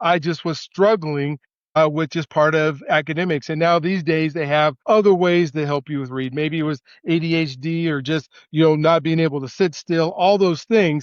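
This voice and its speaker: At a moderate pace and with fairly even intonation, a plain, everyday voice speaks in an American accent. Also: man, fairly high pitch for a man. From Colorado, US. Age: 60s. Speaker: educator with a doctorate. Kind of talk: podcast interview, personal story.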